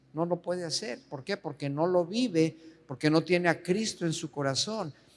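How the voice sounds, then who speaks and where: Speaking high for a man, he lets his pitch rise and fall in a normal way. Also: moderate pace. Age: 70s. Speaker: pastor. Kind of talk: sermon.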